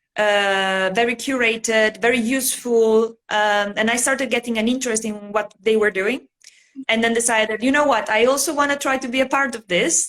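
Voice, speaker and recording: A woman with an Italian accent, fairly high in pitch, at a moderate pace with fairly even intonation. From Italy. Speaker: bullet journal artist. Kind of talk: casual interview chat. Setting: livestream video call.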